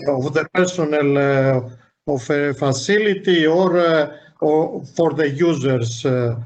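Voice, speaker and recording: A man with a Greek accent speaks at a very slow pace and fairly high pitch, with ordinary pitch variation, very even loudness and audible room echo. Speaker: government veterinary official. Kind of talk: panel discussion. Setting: video conference. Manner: halting.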